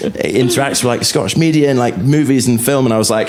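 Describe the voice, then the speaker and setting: A man speaks at a medium pitch and a fairly quick pace with ordinary pitch variation, over noticeable background noise and audible room echo. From Aberdeen, Scotland. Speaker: distillery staff. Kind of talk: casual chat.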